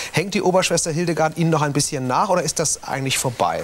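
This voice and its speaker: The speaker is a man. His voice has a fairly high pitch. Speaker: TV talk show host. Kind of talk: interview questions. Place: studio. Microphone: lapel.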